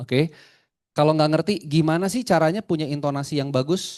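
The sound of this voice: Against a quiet background, a man with a dark, mellow tone speaks fairly quickly with ordinary pitch variation.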